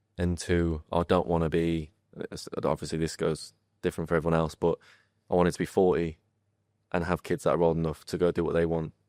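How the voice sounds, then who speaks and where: With a northern English accent, a man speaks at a fairly quick pace in a very deep, low, monotone voice with long, frequent pauses, the sound dry and close with no echo on a very clean recording with a silent background. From northern England. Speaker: footballer. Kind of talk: casual chat.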